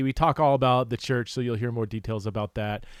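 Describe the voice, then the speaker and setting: A man speaks at a medium pitch in a normal speaking voice. The recording is very clean, with a silent background. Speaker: podcast host. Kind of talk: podcast intro. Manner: upbeat.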